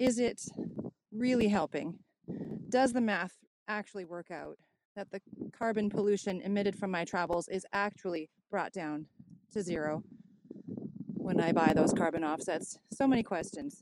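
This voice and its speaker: A woman at a medium pitch speaks at a moderate pace with ordinary pitch variation and long, frequent pauses. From Canada. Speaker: caller. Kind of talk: listener question message. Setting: outdoors, windy.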